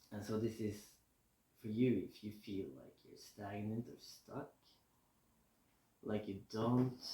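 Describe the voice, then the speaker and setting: A man speaks very slowly in a fairly low, dark and mellow voice that is somewhat breathy, his intonation fairly even. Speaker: tarot reader. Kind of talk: casual tarot reading to camera. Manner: mumbling at times; relaxed, chill.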